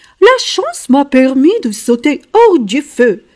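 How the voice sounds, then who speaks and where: A female-sounding put-on character voice, high-pitched for a woman, speaks at a fairly slow pace with very wide pitch swings. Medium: read story.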